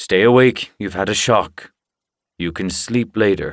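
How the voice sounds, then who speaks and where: A gruff, put-on character voice from a man, fairly low-pitched, at a fairly slow pace. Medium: read story. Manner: gruff, brusque.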